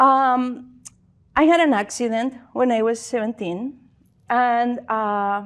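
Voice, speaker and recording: At a very slow pace, a woman speaks with a high pitch. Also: ordinary pitch variation. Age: 60s. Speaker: spiritual speaker. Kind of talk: talk to audience. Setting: stage with audience. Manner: halting.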